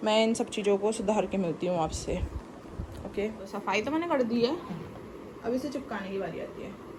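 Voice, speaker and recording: A woman's fairly high voice with lively intonation, long and frequent pauses, audible room echo and noticeable background noise. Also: moderate pace. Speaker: vlogger and student. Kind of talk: casual vlog monologue. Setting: in her room.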